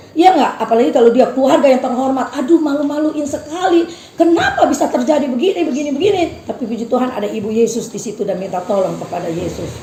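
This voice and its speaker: With very wide pitch swings, a woman talks at a very fast pace in a high pitch, amid audible room echo and noticeable background noise. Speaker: preacher. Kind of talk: sermon.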